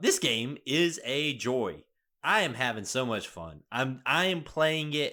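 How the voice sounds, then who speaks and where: Someone speaks in a Southern US accent in a very clean recording with a silent background. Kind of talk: casual, conversational.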